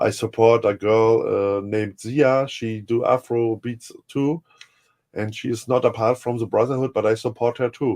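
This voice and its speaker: A man speaks with a German accent. His pitch is medium and his intonation fairly even. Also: moderate pace. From Germany. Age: 50s. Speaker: music producer. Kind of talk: interview. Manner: halting.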